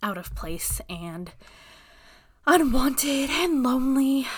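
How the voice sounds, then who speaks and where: Amid audible room echo, a woman with an American accent speaks very slowly, her pitch swinging very widely. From Alaska. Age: 30s. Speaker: podcast host. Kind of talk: casual chat. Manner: hesitant, many fillers; laughs often.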